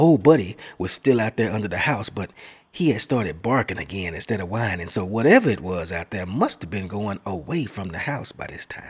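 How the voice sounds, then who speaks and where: Somewhat breathy, the voice moves at a fairly quick pace with big swings in loudness. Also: man, fairly low pitch for a man, lively intonation. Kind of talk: narrated story read in a spooky suspenseful tone.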